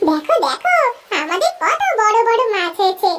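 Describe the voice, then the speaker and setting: A woman speaks in a cartoonish character voice, squeaky and extremely high-pitched. Her pace is moderate. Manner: nagging, wheedling.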